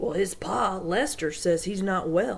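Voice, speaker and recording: A put-on character voice at a middle pitch and a fairly slow pace, with light background noise. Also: female-sounding voice. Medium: read story. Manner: gossipy, confiding.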